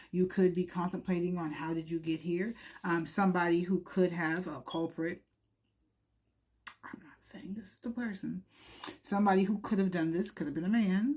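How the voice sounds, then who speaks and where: A woman's fairly low-pitched voice at a moderate pace, ordinary pitch variation, big swings in loudness and long, frequent pauses. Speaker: tarot reader. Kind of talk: tarot reading monologue. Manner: casual, mumbling with many fillers.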